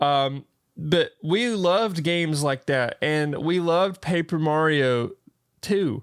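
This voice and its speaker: Over a silent background in a very clean recording, a man with a Southern US accent speaks very slowly at a very even loudness. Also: ordinary pitch variation. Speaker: podcast co-host. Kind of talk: casual chat. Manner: animated.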